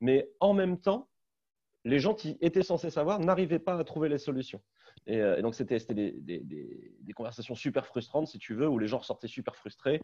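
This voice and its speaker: The background is quiet as a man speaks with a fairly high pitch, a dark, mellow tone and vocal fry. His pitch swings very widely. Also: moderate pace. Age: 30s. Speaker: startup CEO. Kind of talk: webinar panel discussion.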